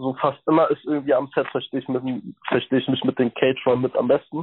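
A man talks with monotone, flat intonation. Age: 20s. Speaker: actor. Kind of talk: interview.

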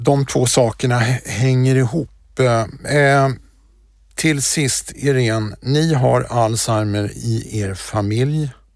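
A man talks at a very slow pace in a medium pitch with ordinary pitch variation. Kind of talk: interview. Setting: podcast studio.

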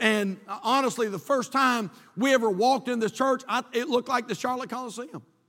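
Raised and projected, a man's voice sits at an extremely high pitch with ordinary pitch variation. His tone is bright and sharp. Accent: North Carolina. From North Carolina. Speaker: pastor. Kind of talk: sermon. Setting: church. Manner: halting, many fillers and repetitions.

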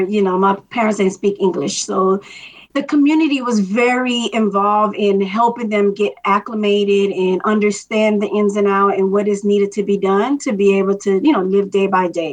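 A woman speaks at a moderate pace with a medium pitch, ordinary pitch variation and very even loudness, hardly pausing at all. Noticeable background noise sits behind her. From Miami, Florida, Dominican immigrant family. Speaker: longtime race volunteer. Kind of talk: interview.

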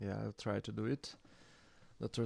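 A man speaks with a Portuguese accent. The sound is dry and close with no echo, over a quiet background. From Brazil, Sao Paulo periphery. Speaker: DJ and record label founder. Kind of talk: casual conversation.

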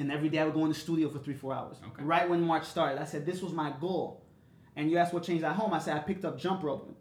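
Over noticeable background noise, a man with an American accent and a fairly high pitch talks at a very fast pace. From Chicago. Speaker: music artist and DJ. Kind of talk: casual chat. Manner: animated.

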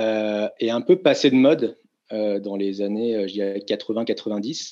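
The tone of this man's voice is dark and mellow. He speaks at a medium pitch. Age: 30s. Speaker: tour operator CEO. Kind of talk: interview.

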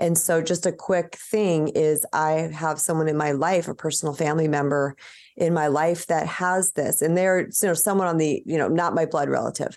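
With an ordinary speaking voice, a woman talks at a moderate pace and fairly low pitch, her intonation fairly even and her loudness very even against a quiet background. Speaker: author and healer. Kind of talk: casual interview chat.

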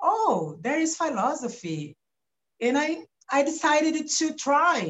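A somewhat breathy voice in a Brazilian Portuguese accent, with very wide pitch swings. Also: woman. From Brazil, São Paulo coast. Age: 40s. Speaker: philosopher and activist. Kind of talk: interview. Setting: remote recording from home. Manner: halting.

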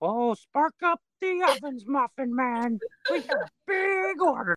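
In a put-on character voice, the speaker uses a high, guttural pitch at a fairly slow pace. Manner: cheerfully bossy.

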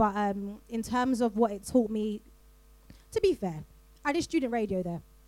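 In a South London accent, a woman speaks at a moderate pace with long, frequent pauses. Her voice is fairly high-pitched, with a dark, mellow tone and ordinary pitch variation. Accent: South London, drops T's. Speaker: voiceover artist. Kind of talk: live panel discussion. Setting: stage with audience.

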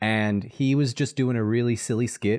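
A man talks over a quiet background. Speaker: social media content creator. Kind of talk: casual chat. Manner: animated.

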